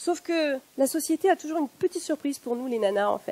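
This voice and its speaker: A woman talks at a fairly quick pace with very wide pitch swings. The sound is dry and close, with no echo. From northern France. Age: 50s. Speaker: factory worker and activist public speaker. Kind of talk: one-person political stage talk. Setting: stage with audience.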